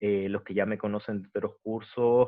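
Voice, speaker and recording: This man speaks fairly slowly in a fairly low voice, with flat, monotone intonation. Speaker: university lecturer. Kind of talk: online lecture. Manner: slower than usual; halting, many fillers.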